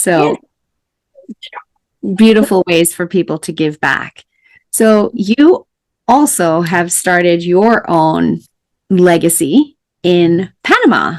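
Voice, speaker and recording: Recorded dry and close with no echo, a woman with a fairly low pitch and lively intonation speaks very slowly, leaving long, frequent pauses. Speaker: podcast host. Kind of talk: interview question.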